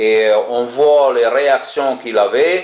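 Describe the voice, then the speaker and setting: There is noticeable background noise as a man talks with a strong non-native accent. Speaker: ex-Jehovah's Witness video blogger. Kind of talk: monologue to camera. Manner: hesitant, many fillers and repetitions.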